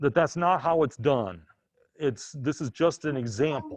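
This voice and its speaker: With a quiet background, a man speaks at a fairly slow pace and with ordinary pitch variation. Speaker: accounting instructor. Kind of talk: lecture.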